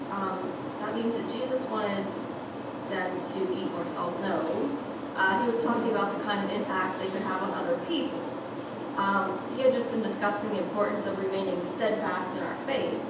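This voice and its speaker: Loud background noise and audible room echo surround the recording. A woman talks at a moderate pace with ordinary pitch variation. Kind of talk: children's sermon. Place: church.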